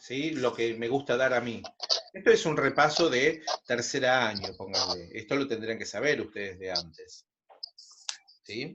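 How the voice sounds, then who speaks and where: Pausing long and often, a man speaks at a fairly slow pace and medium pitch with lively intonation. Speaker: secondary school math teacher. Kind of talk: online class. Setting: video call.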